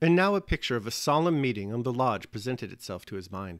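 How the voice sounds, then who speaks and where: Speech at a very fast pace, with very wide pitch swings, comes through on a very clean recording against a silent background. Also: man. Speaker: audiobook reader and essayist.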